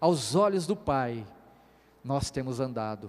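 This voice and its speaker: A man is speaking. His intonation is lively. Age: 40s. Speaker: pastor. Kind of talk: sermon. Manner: animated.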